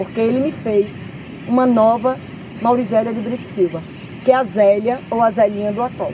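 A woman with a fairly high pitch speaks at a moderate pace, pausing long and often. Noticeable background noise is present. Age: 50s. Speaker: nature reserve chief. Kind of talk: interview. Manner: animated.

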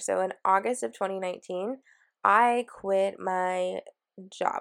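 An ordinary speaking voice with fairly even intonation comes through a very clean recording with a silent background. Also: woman. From Washington State, US. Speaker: podcast host, career and mindfulness coach. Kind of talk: solo podcast monologue.

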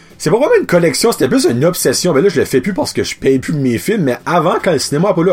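Fairly high in pitch, a man speaks in an animated tone with music in the background. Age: 30s. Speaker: podcast host. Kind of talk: casual chat.

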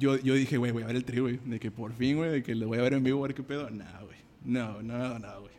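A man's plain, everyday voice at a fairly quick pace, with fairly even intonation. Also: medium pitch for a man. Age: 20s. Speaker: musician. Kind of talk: casual chat.

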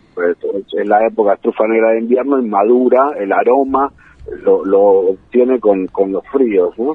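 A man speaks with fairly even intonation. Noticeable background noise runs throughout. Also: medium pitch for a man, moderate pace. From Buenos Aires, Argentina (San Isidro). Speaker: truffle grower, entrepreneur. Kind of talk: radio interview.

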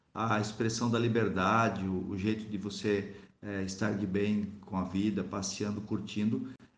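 A man speaks in a fairly low pitch with a monotone, flat intonation, and audible room echo surrounds his voice. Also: fairly slow pace. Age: 40s. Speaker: priest and motorcyclist. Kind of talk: interview testimony.

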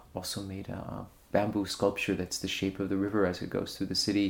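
A man speaks with a New York accent at a fairly low pitch. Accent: New York American English. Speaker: art curator. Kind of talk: radio interview.

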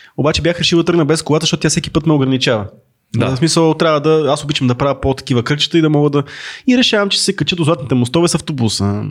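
On a very clean recording with a silent background, a man talks very fast. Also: very even loudness. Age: 30s. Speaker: podcast co-host. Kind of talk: casual live chat. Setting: studio.

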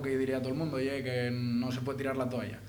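A man speaks very fast at medium pitch, with audible room echo and noticeable background noise. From Asturias, Langreo. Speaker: rapper. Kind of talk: casual interview. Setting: radio studio.

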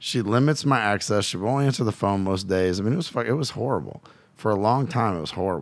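An energetic man talks at a moderate pace with lively intonation. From Louisiana, US South. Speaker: guest, coach and father. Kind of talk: casual interview storytelling. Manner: profane, energetic.

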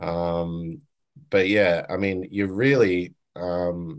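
This man has an Australian accent, a very deep, low pitch and ordinary pitch variation. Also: quiet background. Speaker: sound engineer. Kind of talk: interview. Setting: video call. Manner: halting, many fillers.

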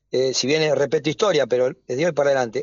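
The speaker is a man with a fairly high pitch. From Argentina, Avellaneda (Greater Buenos Aires). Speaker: sports goods businessman. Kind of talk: radio interview. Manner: halting, repeats words.

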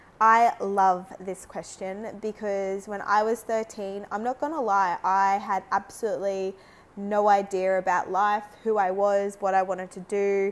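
Delivered in an Australian accent, the speech runs at a fairly slow pace with monotone, flat intonation. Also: woman, medium pitch for a woman. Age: 30s. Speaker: podcast host. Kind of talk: casual solo monologue.

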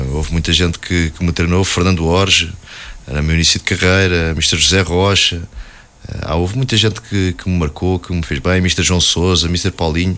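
Over noticeable background noise, a man speaks in a very deep, low pitch. His pace is moderate and his intonation fairly even. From Portugal, Alverca (Lisbon area). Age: 40s. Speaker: football coach, former player. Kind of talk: radio interview. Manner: hesitant, many fillers and repetitions.

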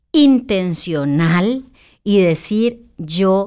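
Very wide pitch swings mark a woman's medium-pitched voice at a very slow pace. The recording is very clean, with a silent background. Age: 40s. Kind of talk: casual faith-based chat.

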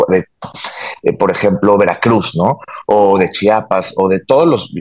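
Recorded with dry, close sound and no echo, a man with an unremarkable speaking voice talks at a fairly slow pace, his fairly low pitch showing ordinary variation. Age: 30s. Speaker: cultural promoter and entrepreneur. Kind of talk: interview.

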